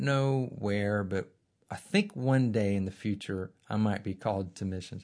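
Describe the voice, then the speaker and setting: Against a quiet background, a man talks in a fairly low pitch with an Alabama accent. His pace is moderate and his intonation lively. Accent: Southern US (Alabama). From Birmingham, Alabama. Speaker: divinity school center director and former missionary. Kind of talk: interview. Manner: halting, repeats words.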